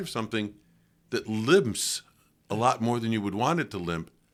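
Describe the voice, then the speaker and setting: A man's medium-pitched voice with a western New York accent, on a very clean recording over a silent background. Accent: western New York American. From US Northeast, western New York (Lockport). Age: 80s+. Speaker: priest. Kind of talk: interview conversation. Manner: reflective, conversational.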